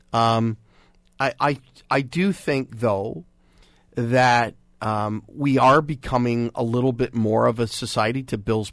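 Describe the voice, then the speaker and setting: Recorded very cleanly with a silent background, a man speaks in a plain, everyday voice at medium pitch with ordinary pitch variation. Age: 50s. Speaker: radio and TV host, media consultant. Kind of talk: radio panel discussion on current affairs. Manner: playful, self-deprecating banter with frequent laughs.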